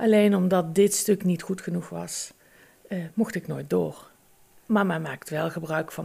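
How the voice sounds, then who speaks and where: The recording is very clean, its background silent. Delivery is fairly slow. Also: woman. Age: 50s. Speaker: agricultural and environmental inspector, mother. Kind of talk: interview. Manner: hesitant.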